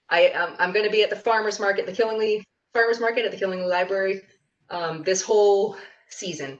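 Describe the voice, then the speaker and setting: A woman with a normal speaking voice, medium in pitch, at a moderate pace. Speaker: herbalist and farmer. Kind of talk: class presentation.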